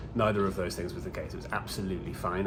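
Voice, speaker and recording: A man with a British accent talks very fast in a very deep, low voice, with audible room echo and noticeable background noise. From UK. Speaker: video blogger, cancer patient. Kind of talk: casual vlog monologue. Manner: casual, chatty.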